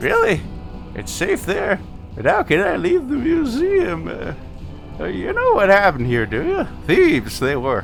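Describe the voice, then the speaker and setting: Music sounds clearly behind the voice. A man puts on a character voice and keeps a moderate pace. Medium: actual play. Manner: rambling, hesitant, easily distracted.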